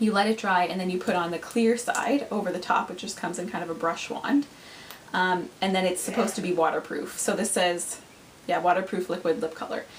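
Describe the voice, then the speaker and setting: Someone talks at a fairly quick pace with ordinary pitch variation. Noticeable background noise sits behind the voice. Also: woman, medium pitch for a woman. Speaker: beauty vlogger. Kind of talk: product review vlog. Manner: fast; animated.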